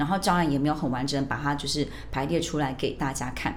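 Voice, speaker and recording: Amid audible room echo, a woman with a very deep, low pitch talks at a fairly quick pace. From Taiwan, raised in Australia from age 12. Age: 40s. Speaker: bilingual teacher. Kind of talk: interview.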